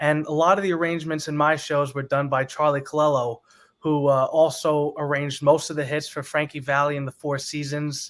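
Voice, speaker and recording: Using an ordinary speaking voice, a man talks fairly high in pitch at a moderate pace. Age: 20s. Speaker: singer. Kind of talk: interview.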